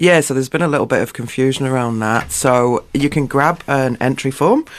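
Over a quiet background, a man in an ordinary speaking voice talks at a medium pitch and a moderate pace. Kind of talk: relaxed radio interview chat, explaining an arts event as a guest. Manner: friendly and conversational, clear and matter-of-fact, explaining details.

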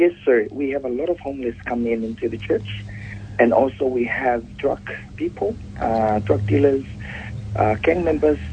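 A man of medium pitch talks at a moderate pace, his pitch varying in an ordinary way, with noticeable background noise present. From Pacific Islands. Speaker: pastor. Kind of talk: interview. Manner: formal.

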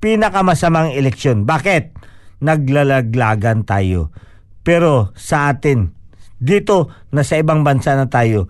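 A man's fairly high pitch, lively intonation and fairly slow pace. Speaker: community radio host. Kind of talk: casual radio chat. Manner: animated.

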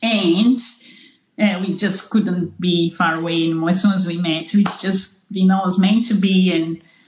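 A woman of medium pitch speaks with a Portuguese accent. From Brazil, São Paulo. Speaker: farmer. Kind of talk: interview. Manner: halting.

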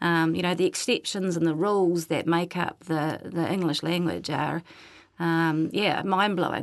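A woman speaks with a New Zealand accent in a fairly low voice. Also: quiet background. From New Zealand North Island. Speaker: Māori language teacher. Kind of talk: casual chat. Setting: studio.

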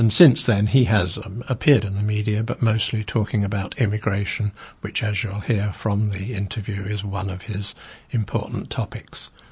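Somewhat breathy and at a fairly low pitch, a man speaks at a moderate pace with fairly even intonation. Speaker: community radio host. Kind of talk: interview. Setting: studio. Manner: halting.

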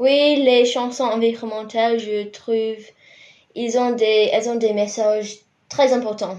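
A woman's fairly high, monotone voice with flat intonation, at a fairly slow pace, with audible room echo. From New Zealand, Rotorua. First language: English (speaking French). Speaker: university student and compost educator. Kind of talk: radio interview. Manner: hesitant.

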